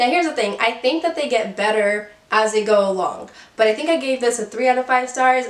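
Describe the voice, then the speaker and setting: A woman speaks in an upbeat tone at a high pitch and a fairly quick pace. Noticeable background noise is present. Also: ordinary pitch variation. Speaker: book reviewer. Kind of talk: casual talk to camera. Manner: chatty, upbeat.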